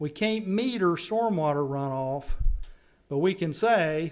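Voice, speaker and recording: Long, frequent pauses break up speech in a Southern US accent. The pace is fairly slow and the intonation lively. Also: man. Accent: Southern US accent, noticeable. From North Carolina. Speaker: stormwater funding consultant. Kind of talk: public meeting presentation.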